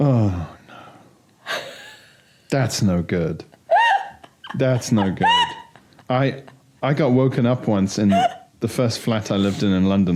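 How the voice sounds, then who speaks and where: A man speaks over noticeable background noise. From outside the UK. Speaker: comedian. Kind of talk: casual chat.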